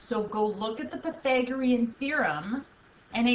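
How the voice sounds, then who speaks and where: A high-voiced woman talks at a middling speed, her intonation lively, as background noise remains clearly audible. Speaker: math teacher. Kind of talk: video lesson.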